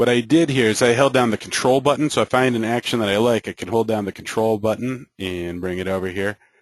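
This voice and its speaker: Delivered at a very fast pace with hardly any pauses, the speech has ordinary pitch variation and a dry, close sound with no echo. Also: man, medium pitch for a man. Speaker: software trainer. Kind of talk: online training session. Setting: web meeting. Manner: hesitant, many fillers.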